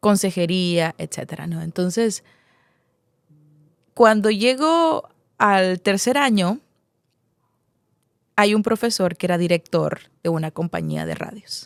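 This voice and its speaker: Woman at medium pitch with ordinary pitch variation, dry and close sound, no echo. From Nicaragua, Masaya. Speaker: radio announcer and journalist. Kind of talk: interview answer.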